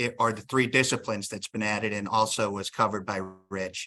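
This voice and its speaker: On a very clean recording with a silent background, a man with a Northeastern US accent speaks at a medium pitch in a bright, sharp tone. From Northeastern Pennsylvania. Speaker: state licensing board executive director, attorney. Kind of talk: workshop presentation. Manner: tends to talk fast; frequent filler ums.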